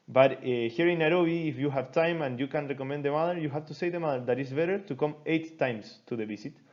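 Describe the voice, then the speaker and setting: Talking very fast with hardly any pauses, a man with a Chilean Spanish accent uses a fairly high pitch and ordinary pitch variation. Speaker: doctor teaching a medical seminar. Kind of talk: lecture. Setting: recorded online class. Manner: halting.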